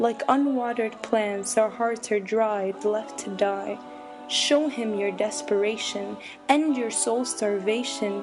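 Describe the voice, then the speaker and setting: Music plays in the background as a woman speaks at a very slow pace. Her pitch is fairly high and her intonation fairly even. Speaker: spoken word poet. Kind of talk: spoken word poetry performance.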